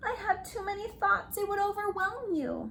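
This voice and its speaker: A put-on character voice, female-sounding and squeaky. It sits at an extremely high pitch and moves at a moderate pace. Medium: read story. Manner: fast, repetitive.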